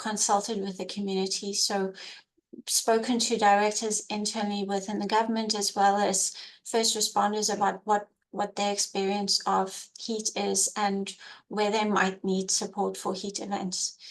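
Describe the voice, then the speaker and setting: A woman's medium-pitched voice at a moderate pace, with monotone, flat intonation and a slight South African accent. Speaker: emergency program coordinator. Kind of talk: webinar presentation.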